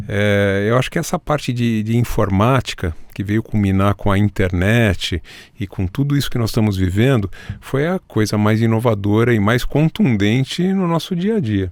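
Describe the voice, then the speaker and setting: A man speaks with an ordinary speaking voice. His intonation is lively and his pace is moderate. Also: fairly low pitch for a man. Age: 60s. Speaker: doctor, NGO founder. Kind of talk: podcast interview.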